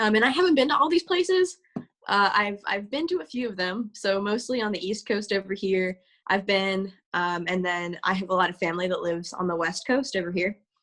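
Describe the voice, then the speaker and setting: A woman speaks at a fairly quick pace with a slight Southern US accent. Her pitch is medium, with ordinary pitch variation. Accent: slight Southern twang. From US South, Georgia. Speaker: university student presenter. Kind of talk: webinar presentation. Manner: halting, many fillers and repetitions.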